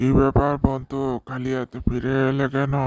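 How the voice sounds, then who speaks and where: A man does a cartoonish character voice at medium pitch. His pace is moderate and his intonation monotone and flat. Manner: lazy, relaxed.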